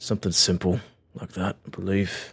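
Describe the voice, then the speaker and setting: A man puts on a character voice that is raspy and fairly low-pitched. He keeps a moderate pace. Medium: actual play. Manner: blunt, casual, slangy.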